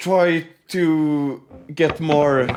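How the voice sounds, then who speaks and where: With a non-native accent, a man talks at a fairly high pitch as music plays in the background. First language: not English. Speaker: guitar reaction youtuber. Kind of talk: casual video reaction commentary. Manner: halting, many fillers and restarts.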